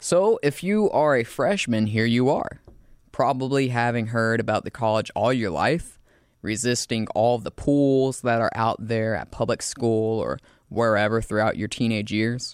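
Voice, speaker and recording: Against a quiet background, a man with a Southern US accent speaks fairly slowly at medium pitch with ordinary pitch variation. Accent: Southern US, charming. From US South, South Carolina. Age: 20s. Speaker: student narrator and show producer. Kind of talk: scripted narration.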